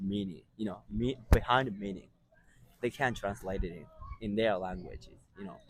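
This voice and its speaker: A man with a Japanese accent speaks with lively intonation. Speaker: street interviewer. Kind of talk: casual interview.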